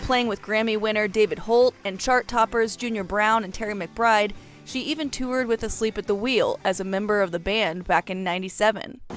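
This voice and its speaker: Over music in the background, a woman with a fairly high pitch talks at a fairly quick pace in fairly even intonation, with hardly any pauses. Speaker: reporter, songwriter and musician. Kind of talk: news feature narration.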